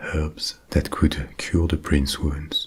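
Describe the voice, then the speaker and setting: With a calm tone, a man speaks at a very slow pace in a very deep, low pitch. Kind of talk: bedtime ASMR story narration. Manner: calm, soft, slow.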